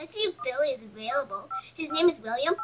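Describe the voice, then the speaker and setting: A female-sounding voice performs a cartoonish character. The pitch is extremely high. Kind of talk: school cartoon comedy. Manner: sarcastic, sassy.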